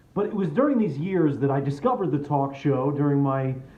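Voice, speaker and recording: A man with a normal speaking voice, fairly high in pitch, at a moderate pace. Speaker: spoken word performer. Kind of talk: comedic personal storytelling monologue.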